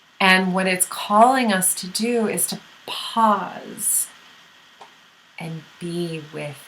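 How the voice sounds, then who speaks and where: Over noticeable background noise, a woman speaks very slowly in a fairly low pitch with ordinary pitch variation. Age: 40s. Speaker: spiritual teacher. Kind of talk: monologue to camera. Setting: speaking to a camera. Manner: animated.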